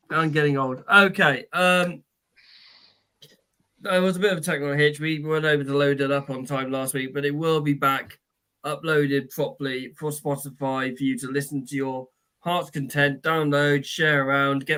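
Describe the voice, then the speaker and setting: A man speaks with a fairly high pitch. His tone is bright and sharp. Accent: British. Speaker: podcast co-host. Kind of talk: casual chat; show sign-off.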